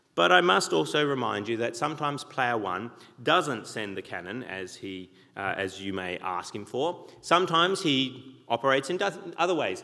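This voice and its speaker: A man's bright, sharp voice in an Australian accent, with vocal fry, very wide pitch swings, and a moderate pace. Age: 40s. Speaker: pastor. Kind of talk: sermon. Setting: church.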